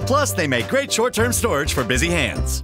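A man speaks fairly quickly. Behind him, music is playing. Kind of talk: infomercial-style TV commercial read. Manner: upbeat, hard-sell.

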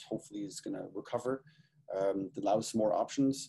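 This man talks fairly quickly, his tone dark and mellow. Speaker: presenter. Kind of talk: lecture. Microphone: webcam.

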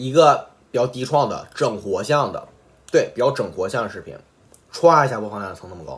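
With lively intonation and a fairly quick pace, a man speaks while his loudness swings widely. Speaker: gaming youtuber. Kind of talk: apology video monologue. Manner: unscripted, with slips. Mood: reflective, mildly sarcastic. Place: home room. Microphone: phone near.

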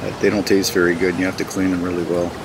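The speaker is a man. His voice sounds dry with no echo, over noticeable background noise. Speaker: outdoor guide. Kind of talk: tutorial. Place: waterside.

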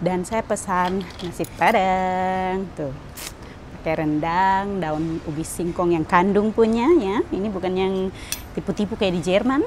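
Over light background noise, a woman with a Papuan accent speaks very slowly with ordinary pitch variation. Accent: Papuan Indonesian. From Papua, Indonesia. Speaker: vlogger. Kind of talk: casual vlog. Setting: airport and hotel, on the go. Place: station.

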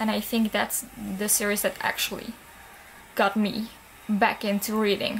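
Over light background noise, a woman with a fairly high pitch and a non-native accent speaks at a moderate pace. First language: not English. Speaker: book vlogger. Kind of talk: casual talk to camera. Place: home room. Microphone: webcam.

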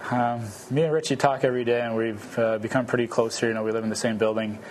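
Over clear background noise, a man speaks fast at a medium pitch with fairly even intonation.

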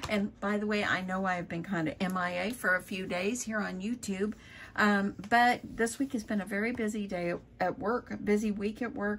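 There is light background noise behind a somewhat breathy voice. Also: woman. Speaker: crafter vlogger. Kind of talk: casual vlog chat. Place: home room. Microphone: phone near.

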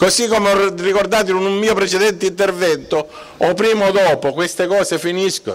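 A man's high-pitched voice at a fairly quick pace, with very even loudness and fairly even intonation. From Sicily. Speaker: mayoral candidate, lawyer; candidate, lawyer. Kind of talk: political rally speech. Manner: emphatic. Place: street. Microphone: podium.

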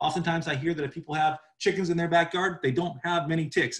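A man talking at a very fast pace over a quiet background. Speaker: livestock educator. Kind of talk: webinar lecture. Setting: video call. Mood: friendly, informal.

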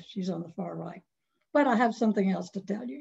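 A woman speaks with an American accent. Her voice is somewhat breathy, with a dark, mellow tone. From North Carolina. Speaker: author; guest. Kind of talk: webinar presentation of memoir. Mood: warm, nostalgic. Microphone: video call.

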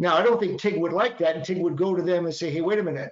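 Against a quiet background with audible room echo, a high-pitched man speaks with a Boston accent. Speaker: patent attorney presenter. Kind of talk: lecture. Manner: conversational, informal. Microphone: webcam.

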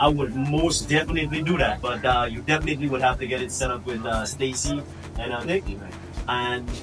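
With faint music in the background, a man speaks at a moderate pace. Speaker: visiting vlogger. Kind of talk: casual vlog chat. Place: kitchen. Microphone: phone near.

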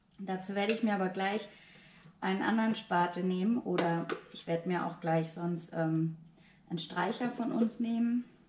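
With audible room echo and light background noise, the voice moves at a fairly slow pace with ordinary pitch variation. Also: woman. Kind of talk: tutorial. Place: kitchen. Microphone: camera far.

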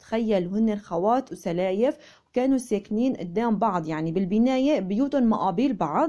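The tone is dark and mellow, and the pace is moderate. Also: woman. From Syria (Aleppo). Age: 20s. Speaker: lifestyle vlogger. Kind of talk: casual vlog narration.

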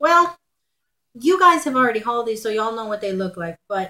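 With a Texan accent, a woman talks at a fairly high pitch and swings it very widely. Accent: Texan American English. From Texas. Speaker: haul vlogger. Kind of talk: casual haul video monologue. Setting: at home. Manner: chatty with fillers. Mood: cheerful, chatty. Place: home room. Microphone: webcam.

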